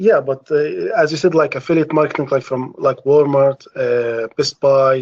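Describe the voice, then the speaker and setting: With an Arabic accent, a man speaks at a moderate pace and a fairly high pitch in a dry, close sound with no echo. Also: ordinary pitch variation. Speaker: caller, job seeker. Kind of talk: live Q&A question. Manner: halting, many fillers.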